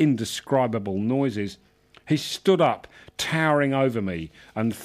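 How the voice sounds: Lively intonation in a natural reading voice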